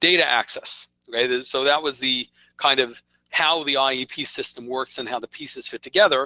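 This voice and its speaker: A man speaks in a New York accent. His pitch is medium. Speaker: software company presenter. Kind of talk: webinar presentation. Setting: online webinar. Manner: conversational, with frequent okay fillers.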